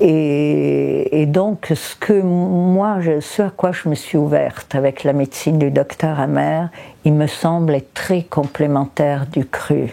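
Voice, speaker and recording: Over noticeable background noise, a woman with a very deep, low pitch speaks at a very slow pace and with fairly even intonation. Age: 70s. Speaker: raw food practitioner. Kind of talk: testimony. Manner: halting.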